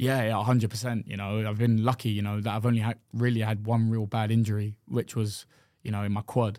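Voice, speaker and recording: A man with a London accent speaks at a fairly quick pace in a fairly low, dark and mellow voice, his intonation flat and monotone, on a very clean recording with a silent background. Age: 20s. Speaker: professional football goalkeeper. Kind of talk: casual chat.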